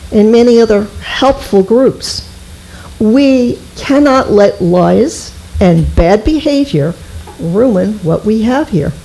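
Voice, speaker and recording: A woman with a fairly high pitch speaks very slowly with lively intonation and very even loudness. There is noticeable background noise. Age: 70s. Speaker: resident speaking at public comment. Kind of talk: reading a prepared statement. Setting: town board meeting.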